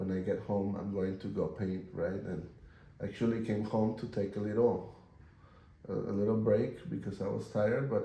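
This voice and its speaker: A man speaks at a fairly low pitch in a somewhat breathy voice, keeping his intonation fairly even. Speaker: painter. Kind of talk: casual talk while painting.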